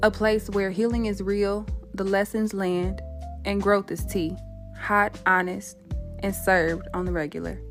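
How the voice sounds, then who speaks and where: Music plays behind a woman who speaks at a fairly slow pace. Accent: Southern US. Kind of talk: podcast talk. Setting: home microphone, unedited. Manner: warm, welcoming.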